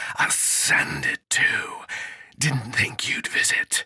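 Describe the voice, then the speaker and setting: In a put-on character voice, a man speaks at a very slow pace, whispering, hissing, and growling in a raspy way. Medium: read story.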